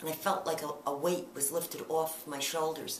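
A woman speaks at a moderate pace and a fairly low pitch, with ordinary pitch variation. Light background noise and audible room echo are present. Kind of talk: interview answer. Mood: earnest, emotional recollection.

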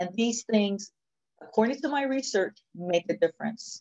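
A woman with an unremarkable speaking voice uses lively intonation at a fairly high pitch over a quiet background. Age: 50s. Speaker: accounting professor and researcher; accounting professor. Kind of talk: conference presentation. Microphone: video call.

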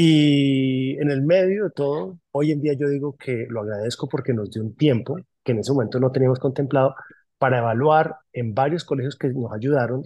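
A man speaks at a moderate pace with ordinary pitch variation and a dark, mellow tone. The sound is dry with no echo, over a quiet background. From Colombia, Caribbean coast (Barranquilla-born, raised Bogotá); Colombia. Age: 40s. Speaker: publishing company manager. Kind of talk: interview. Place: office. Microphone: phone near.

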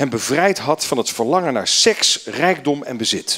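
The background here is quiet. A man talks fairly slowly over it. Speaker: association chairman. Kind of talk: welcome speech. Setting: stage with audience. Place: hall. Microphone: handheld.

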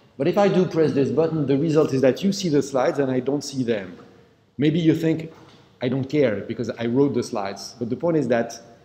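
A man's voice, fairly quick in pace, its pitch varying in an ordinary way. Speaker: university lecturer. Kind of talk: lecture. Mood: flustered by technical trouble. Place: hall.

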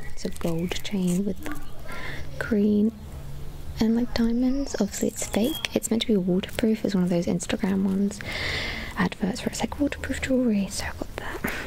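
A woman whispers at a moderate pace, pausing long and often over light background noise. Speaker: ASMR creator. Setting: outdoors. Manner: whispered. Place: garden.

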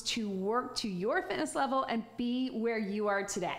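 Music plays behind a woman who speaks at a moderate pace. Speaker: fitness instructor. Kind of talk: workout instruction. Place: studio.

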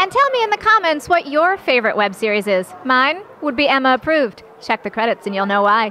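A woman's high-pitched, raised and projected voice, fairly quick, with very wide pitch swings, hardly any pauses, and light background noise. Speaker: red carpet interviewer. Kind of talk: casual interview. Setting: red carpet event outdoors or at venue. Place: hall. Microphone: handheld.

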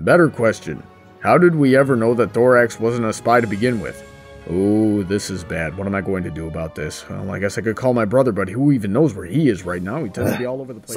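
Over clear background music, a man puts on a character voice, fairly low in pitch and delivered at a very fast pace. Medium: comedy sketch.

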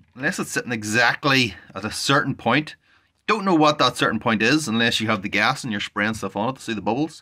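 Over a quiet background, a man talks at a fairly quick pace in a bright, sharp tone with ordinary pitch variation. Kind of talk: tutorial. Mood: frustrated, exasperated. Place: home room. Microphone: phone near.

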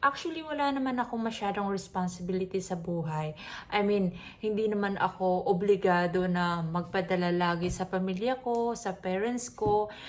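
Ordinary pitch variation accompanies speech at a moderate pace. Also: woman, medium pitch for a woman. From Philippines. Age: 30s. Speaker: vlogger. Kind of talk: personal vlog monologue.

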